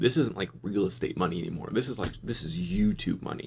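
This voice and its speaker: A man speaks with an American accent and lively intonation. Vocal fry runs through his voice. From US West Coast, Los Angeles. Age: 30s. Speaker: YouTube finance commentator. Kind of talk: casual reaction commentary.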